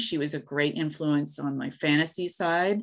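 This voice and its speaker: In a very clean recording with a silent background, a woman with an American accent and a very deep, low pitch talks at a fairly slow pace with ordinary pitch variation. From US South, East Tennessee (Appalachia). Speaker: author. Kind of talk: interview.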